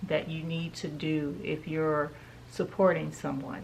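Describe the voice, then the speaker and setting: A somewhat breathy woman's voice, fairly low in pitch, at a very slow pace, with audible room echo. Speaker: home decor YouTuber. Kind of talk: shopping haul vlog.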